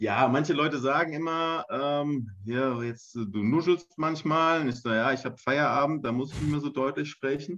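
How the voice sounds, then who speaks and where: With hardly any pauses, a man talks in a normal speaking voice at a fairly high pitch. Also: ordinary pitch variation, moderate pace. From Hesse, Germany (Hessian Ried). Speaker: football offensive coordinator and speech therapist. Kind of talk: casual interview. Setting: video call.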